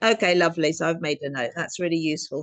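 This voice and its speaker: A woman with an English accent, fairly low in pitch with ordinary pitch variation, at a very fast pace. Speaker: interviewer reading audience questions. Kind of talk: interview.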